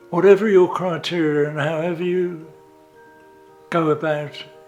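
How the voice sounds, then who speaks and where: Music plays in the background. The speech moves at a moderate pace in a flat monotone. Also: man. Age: 70s. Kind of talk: interview answer.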